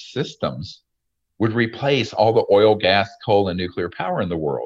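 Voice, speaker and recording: Over a quiet background, a man with an unremarkable speaking voice talks at a moderate pace and a fairly low pitch, his intonation lively. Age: 60s. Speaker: retired emergency doctor and UFO researcher. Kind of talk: interview. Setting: video call.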